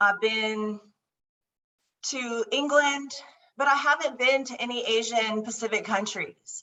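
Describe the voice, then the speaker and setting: A woman's high-pitched voice with an American accent, fairly slow, with long, frequent pauses. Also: ordinary pitch variation. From Southern California. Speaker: political candidate. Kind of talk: candidate forum answer. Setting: video call.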